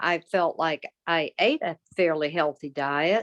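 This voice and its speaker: Speaking with a Southern US accent, a woman uses a fairly low pitch and a very slow pace. The sound is dry and close with no echo, and the background is quiet. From US South. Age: 60s. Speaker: patient advocate. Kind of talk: testimony.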